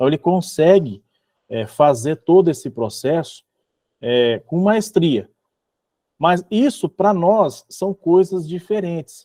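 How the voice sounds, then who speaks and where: With a strong Minas Gerais accent, a man speaks very slowly at a high pitch in a dark, mellow tone, his intonation lively, with long, frequent pauses and a dry, close sound with no echo. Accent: self-described strong Minas Gerais. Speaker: religious study group leader. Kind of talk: online group study session with reading aloud.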